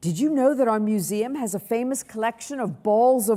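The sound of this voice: The voice reads aloud in an unforced way, its pitch rising and falling an ordinary amount.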